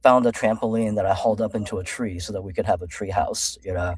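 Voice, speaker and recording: A man with a Californian accent talks at a fairly quick pace on a very clean recording with a silent background. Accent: American (California). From China, raised in California from early childhood. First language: Chinese. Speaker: executive coach. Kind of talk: interview. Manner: casual, many fillers.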